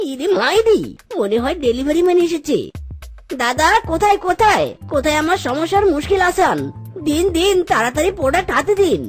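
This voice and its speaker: A whiny put-on character voice at a moderate pace, over faint background music. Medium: cartoon. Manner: excitable, whiny, uses "ইরে মাইরি" exclamations.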